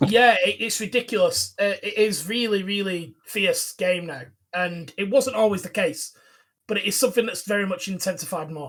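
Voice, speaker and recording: In a strong Lancashire accent, a man speaks at a high pitch and a moderate pace. His pitch varies by an ordinary amount. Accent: strong Bolton. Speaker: football podcast co-host. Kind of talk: casual podcast chat.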